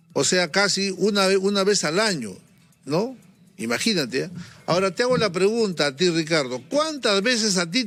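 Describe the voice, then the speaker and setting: Here a man talks in a high pitch with lively intonation. His pace is moderate and his loudness very even. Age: 60s. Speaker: physician TV host. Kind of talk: TV interview.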